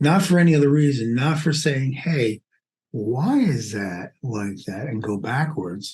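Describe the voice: A man with a Brooklyn accent at a medium pitch, slightly mellow in tone, with lively intonation and a fairly slow pace. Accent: Brooklyn New York.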